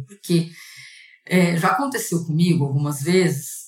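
A woman speaks at a medium pitch and a moderate pace with ordinary pitch variation, with noticeable background noise. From interior of São Paulo state, Brazil. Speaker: corporate lawyer. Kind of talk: casual interview.

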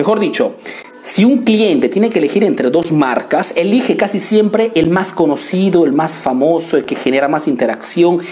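Over music in the background, a man with a high pitch speaks in an animated tone. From Italy, Peruvian family. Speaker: business coach. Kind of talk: live stream business tutorial.

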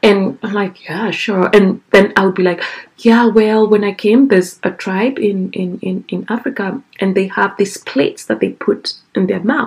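A woman with a Kenyan accent, somewhat breathy, at a moderate pace. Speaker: guest being interviewed. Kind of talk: casual interview conversation.

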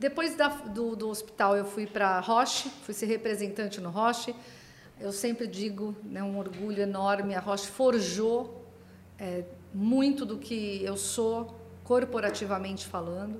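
Over noticeable background noise and audible room echo, a woman of medium pitch speaks at a fairly slow pace with fairly even intonation. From Brazil, Santos (São Paulo coast). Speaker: pharma consultancy CEO. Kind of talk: interview conversation.

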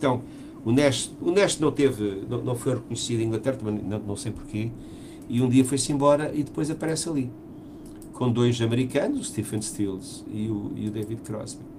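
There is audible room echo as a man speaks at a medium pitch and moderate pace, with ordinary pitch variation. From Portugal. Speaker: musician and podcast co-host. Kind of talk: casual chat.

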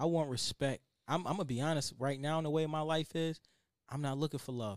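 A man with an American accent speaks at a very fast pace and a fairly high pitch, in a very clean recording with a silent background and a dry, close sound with no echo. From Buffalo, New York, US. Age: 30s. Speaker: rapper and entrepreneur. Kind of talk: casual interview chat. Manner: animated.

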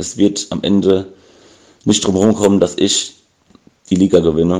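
A man's fairly low, dark, mellow voice, flat and monotone, at a fairly slow pace. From Bavaria, near Aschaffenburg. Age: 20s. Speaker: listener. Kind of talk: voice message.

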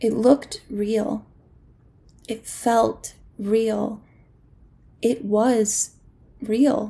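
A woman's somewhat breathy, dark, mellow voice in monotone, flat intonation, at a very slow pace with long, frequent pauses. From US South, Mississippi. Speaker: actor and comedian, storyteller. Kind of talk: personal storytelling.

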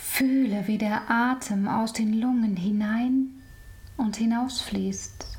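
The tone is calm and soothing, and the pace is very slow. There is noticeable background noise. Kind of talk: guided meditation. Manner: slow, calm, soothing; soft-spoken, with long pauses.

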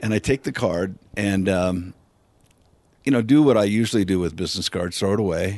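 A plain, everyday voice from a man, fairly low in pitch, at a fairly quick pace with ordinary pitch variation. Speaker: friend of the guest, cigar enthusiast. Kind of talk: casual chat.

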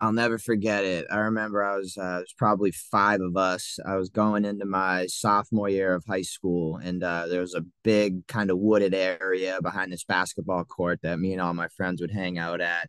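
Over a quiet background, a man with an American accent and a very deep, low pitch speaks at a moderate pace with fairly even intonation and hardly any pauses, the sound dry and close with no echo. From Massachusetts, south of Boston. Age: 20s. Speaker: vape hardware sales manager. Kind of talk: casual chat. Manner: hesitant, frequent uh fillers.

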